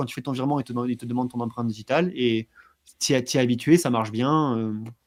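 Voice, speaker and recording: A man rattles along at a very fast pace with a medium pitch. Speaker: blockchain trainer. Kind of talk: interview. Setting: livestream.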